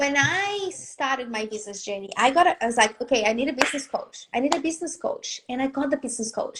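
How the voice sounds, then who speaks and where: A woman talks at a very fast pace in a high pitch, with hardly any pauses and lively intonation. Noticeable background noise is present. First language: not English. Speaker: business and confidence coach. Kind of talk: live video interview. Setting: live video stream. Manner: animated.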